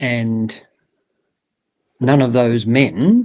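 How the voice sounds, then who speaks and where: A man with an Australian accent speaks at a medium pitch. His pitch varies in an ordinary way, and the background is quiet. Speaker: bush poet. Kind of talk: interview answer.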